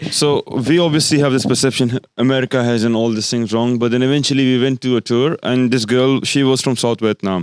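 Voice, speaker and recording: A man with a non-native accent speaks at a fairly quick pace with hardly any pauses, in a medium pitch with fairly even intonation and very even loudness, the sound dry and close with no echo. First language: not English. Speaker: podcast co-host. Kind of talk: casual chat. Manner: halting, many false starts.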